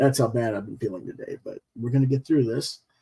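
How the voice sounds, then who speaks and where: A somewhat breathy man is captured in a dry, close sound with no echo. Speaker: comics creator and manga reviewer. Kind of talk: video review. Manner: hesitant, many fillers.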